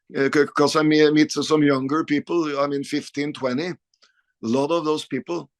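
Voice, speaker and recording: A man speaks at a fairly high pitch and a moderate pace. The sound is dry and close, with no echo. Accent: Norwegian. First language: Norwegian. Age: 50s. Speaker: rock guitarist. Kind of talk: interview. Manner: halting.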